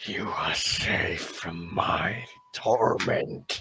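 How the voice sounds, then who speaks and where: A man's growling, put-on character voice at medium pitch, with faint music in the background. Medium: actual play. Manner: cryptic, menacing.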